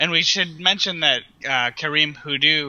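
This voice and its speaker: Using a plain, everyday voice, a man speaks at a fairly slow pace with ordinary pitch variation. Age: 30s. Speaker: music blogger. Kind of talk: casual chat.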